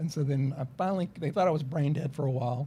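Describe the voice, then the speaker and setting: This man has a fairly high pitch and a somewhat breathy voice. His tone is dark and mellow. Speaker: lawyer. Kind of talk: casual chat. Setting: studio.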